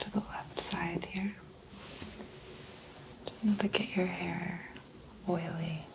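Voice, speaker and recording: A woman whispers over noticeable background noise. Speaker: ASMR role-play chiropractor / doctor. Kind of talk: soft-spoken ASMR role play exam. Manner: soft-spoken.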